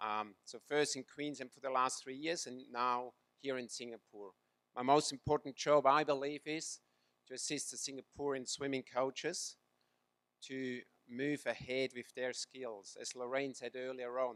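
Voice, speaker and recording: In a Swiss accent, a man with a medium pitch talks at a moderate pace with monotone, flat intonation and big swings in loudness, in dry, close sound with no echo. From Switzerland. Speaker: swimming coach. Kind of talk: talk to audience.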